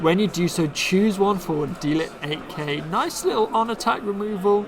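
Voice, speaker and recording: Against noticeable background noise, a man with a Bristol accent speaks at a moderate pace in a high voice with ordinary pitch variation. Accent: Bristolian English. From Bristol, England. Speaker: card game streamer. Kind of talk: live stream commentary. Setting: live stream.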